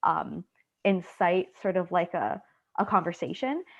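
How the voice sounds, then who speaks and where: A woman speaks at a fairly slow pace and medium pitch with ordinary pitch variation against a quiet background. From Canada, Trinidadian family. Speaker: student researcher. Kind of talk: Q&A discussion.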